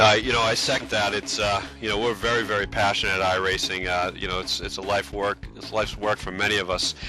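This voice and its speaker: Over music in the background, a man with a fairly low pitch talks at a very fast pace with hardly any pauses and fairly even intonation. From US East Coast, Boston. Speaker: sim racing company staff. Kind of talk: interview on a race broadcast pre-show. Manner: hesitant, many fillers.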